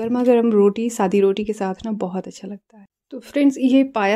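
A woman speaks at a fairly slow pace. Her intonation stays fairly even against a quiet background. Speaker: home cooking vlogger. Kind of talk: casual vlog chat. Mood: warm, relaxed. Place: kitchen. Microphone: phone near.

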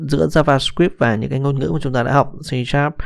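At a fairly quick pace, a man with medium pitch and lively intonation talks in an unremarkable speaking voice. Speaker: programming instructor. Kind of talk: tutorial. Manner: casual, with many fillers.

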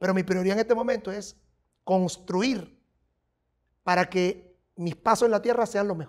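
Over a quiet background, a man with a high pitch and ordinary pitch variation talks at a moderate pace, leaving long, frequent pauses. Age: 50s. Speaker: psychic and spiritual adviser; interview guest. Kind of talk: casual interview chat. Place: studio.

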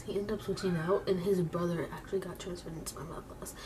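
A woman's very fast speech over noticeable background noise. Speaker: beauty vlogger. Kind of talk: casual vlog chat. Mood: chatty, playful. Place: home room. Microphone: webcam.

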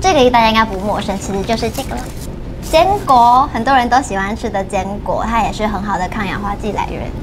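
A woman's fairly high voice, fairly quick and cheerful in tone, with ordinary pitch variation and faint music in the background. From Taiwan, Tainan-born, lives in Taipei; Taiwan. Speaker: dietitian; nutritionist guest host. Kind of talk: livestream health talk, casual chat. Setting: studio livestream. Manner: cheerful, laughs often. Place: studio.

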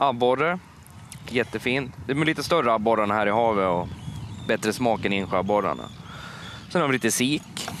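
With lively intonation and a moderate pace, a man speaks in a dry sound with no echo over light background noise. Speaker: fisherman and fish restaurant owner. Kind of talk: TV interview. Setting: outdoors. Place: waterside. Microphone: headset.

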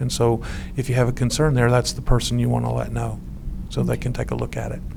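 A man speaks fast with monotone, flat intonation. His voice sits at medium pitch with vocal fry.

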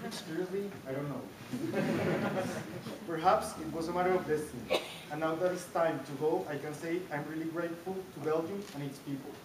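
A fairly quick voice with a Spanish accent over noticeable background noise. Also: man. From Colombia. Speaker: master's graduate. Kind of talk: graduation ceremony speech. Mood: grateful, warm. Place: hall. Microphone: camera far.

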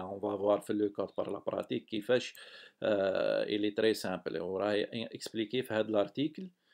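Vocal fry marks this man's fairly low voice, which shows ordinary pitch variation. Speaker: software developer, tutorial maker. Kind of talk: tutorial. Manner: halting.

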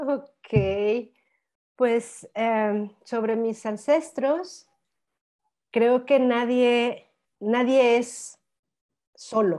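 Against a quiet background, a woman with a high, dark and mellow voice speaks at a very slow pace, with ordinary pitch variation and long, frequent pauses. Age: 50s. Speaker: spiritual guide and dancer; interview guest. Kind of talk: interview conversation; interview answer. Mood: warm, animated. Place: home room. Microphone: lapel.

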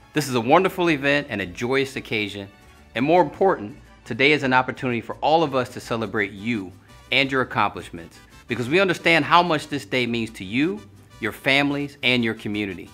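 Faint music sits behind the voice. The man delivers his lines fairly quickly. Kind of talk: commencement speech. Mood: formal, warm, earnest.

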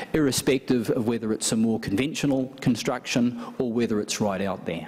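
Light background noise sits under the recording. A man talks at a moderate pace. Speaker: event host introducing a guest. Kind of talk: welcome speech. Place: hall. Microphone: podium.

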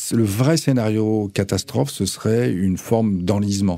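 Here a man is speaking. His pace is very slow. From France, Nantes; France. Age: 50s. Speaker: cultural venue director; radio guest. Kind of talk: radio interview. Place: studio. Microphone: studio mic.

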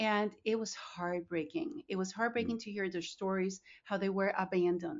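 With a Spanish accent, a woman speaks at a medium pitch. Her intonation is lively and her pace moderate. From Colombia (Bogota). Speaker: nonprofit founder and CEO. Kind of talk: podcast interview.

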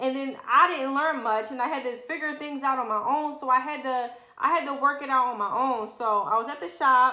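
With hardly any pauses, a woman projects a raised, high-pitched voice with ordinary pitch variation, and audible room echo surrounds her. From Philadelphia, US. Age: 20s. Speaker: lash artist, beauty vlogger. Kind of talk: personal story vlog. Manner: casual, frequent 'um' fillers. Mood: earnest, reflective. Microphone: phone near.

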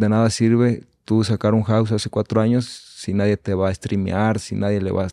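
Over a quiet background, a man speaks in a monotone, flat delivery at a fairly low pitch, with a dark, mellow tone, a moderate pace and hardly any pauses. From Mexico, Valle de Chalco (State of Mexico); State of Mexico. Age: 20s. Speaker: reggaeton singer and songwriter; podcast guest. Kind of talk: casual chat. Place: studio. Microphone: studio mic.

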